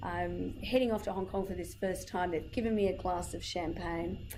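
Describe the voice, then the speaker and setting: Audible room echo surrounds a woman's voice. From Ireland. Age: 30s. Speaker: communication trainer. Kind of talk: workshop talk. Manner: animated.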